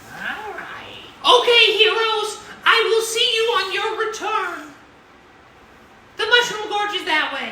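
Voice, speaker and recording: An extremely high, put-on character voice at a fairly slow pace, with long, frequent pauses and a slight echo. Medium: actual play.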